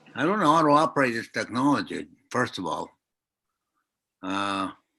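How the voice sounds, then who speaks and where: Man's fairly high, bright and sharp voice with vocal fry and very wide pitch swings, at a moderate pace over a quiet background. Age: 80s+. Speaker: elder, friend of the author. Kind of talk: tribute speech. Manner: halting. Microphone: built-in mic, too quiet at first.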